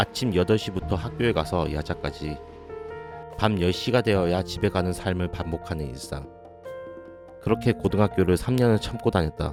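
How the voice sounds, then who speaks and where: Over music in the background, the speech moves at a moderate pace with lively intonation and long, frequent pauses. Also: man, very deep, low pitch for a man. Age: 30s. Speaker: broadcast production worker. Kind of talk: personal vlog narration.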